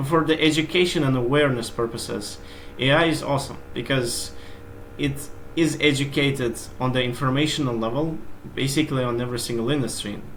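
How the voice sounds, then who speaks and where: A man with a non-native accent talks fairly quickly at medium pitch with fairly even intonation, amid noticeable background noise and audible room echo. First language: not English. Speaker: SEO expert. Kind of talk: interview.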